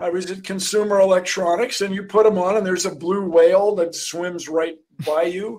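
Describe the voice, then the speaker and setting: Over a quiet background, a man speaks high in pitch with fairly even intonation. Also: moderate pace. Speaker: guest. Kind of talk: interview answer. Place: home room. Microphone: video call.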